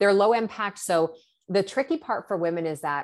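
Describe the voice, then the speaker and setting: A woman with a plain, everyday voice speaks at a moderate pace with lively intonation. The recording is very clean, with a silent background. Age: 40s. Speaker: hormone educator. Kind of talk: casual chat.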